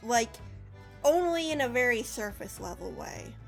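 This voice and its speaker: A woman speaks over music in the background. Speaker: video game analyst. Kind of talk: video essay narration. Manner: sarcastic, casual.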